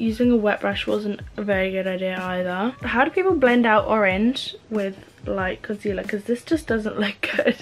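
With an English accent, a woman talks at a moderate pace with ordinary pitch variation and hardly any pauses over light background noise. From England. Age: young. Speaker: beauty vlogger. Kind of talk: casual chat. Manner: animated. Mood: frustrated, self-mocking. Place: home room. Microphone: camera far.

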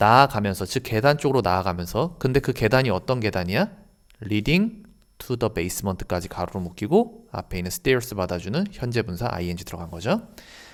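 A man's plain, everyday voice, fairly low in pitch, with lively intonation, a fairly quick pace, and a very clean recording over a silent background. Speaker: English teacher. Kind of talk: lecture.

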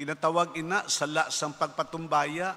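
The speaker is a man with a bright, sharp tone. He talks fairly slowly. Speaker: priest giving homily. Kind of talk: sermon. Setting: church. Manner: earnest, preachy, conversational; animated, mimicking skeptics' voices. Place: church. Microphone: podium.

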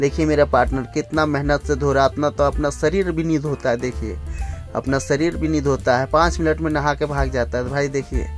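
Faint background music plays under a man speaking at a moderate pace. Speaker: truck driver vlogger. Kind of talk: casual vlog chat. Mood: joking, teasing partner. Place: street. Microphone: phone near.

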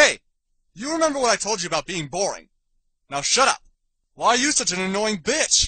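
A man puts on a cartoonish character voice, high-pitched with a bright, sharp tone, a slightly husky edge, big pitch swings and a fairly quick pace.

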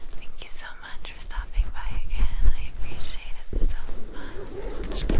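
Loud background noise surrounds a soft-spoken woman. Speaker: ASMR creator. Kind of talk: soft-spoken ASMR outro. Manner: soft-spoken, close to the mic. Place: home room.

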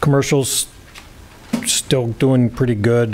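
Against noticeable background noise, a man speaks fairly slowly in a flat monotone. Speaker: county department head giving a report. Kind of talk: report to a public meeting. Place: meeting room. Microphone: podium.

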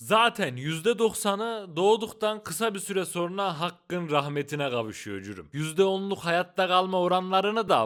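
A man speaks in a high voice with very wide pitch swings. His pace is very slow. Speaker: documentary YouTuber. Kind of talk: sponsor read; documentary narration. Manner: casual, slangy. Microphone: Boya BY-M1000 Pro microphone.

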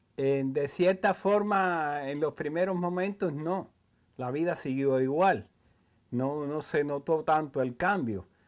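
Against a quiet background, a man speaks very slowly in a fairly high pitch. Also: ordinary pitch variation. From central Cuba, rural area near the Escambray mountains; Cuba. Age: 80s+. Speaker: former political prisoner. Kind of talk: interview testimony. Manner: halting, with frequent repetitions. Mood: calm, reflective recollection. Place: home room.

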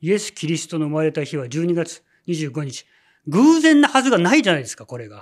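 Over a quiet background, a man with a high voice speaks at a fairly quick pace, with very wide pitch swings and big swings in loudness. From Japan. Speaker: religious leader. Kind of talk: sermon. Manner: many filler words. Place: church. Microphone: lapel.

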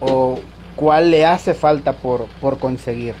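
With fairly even intonation, a man speaks at a fairly slow pace, an ordinary speaking voice. Light background noise is present. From Mexico, Tabasco (southeast). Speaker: interviewer. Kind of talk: interview. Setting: video call. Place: home room. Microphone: video call.

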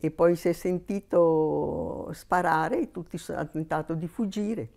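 Fairly low pitch for a woman, with a dark, mellow tone, ordinary pitch variation, big swings in loudness and a fairly slow pace. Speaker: missionary nun; interviewee. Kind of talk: interview testimony. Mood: warm, reflective. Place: home room. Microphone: lapel.

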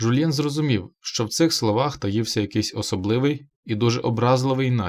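The speaker does plain reading aloud, pitch moving in an ordinary way. Nothing much sounds behind them.

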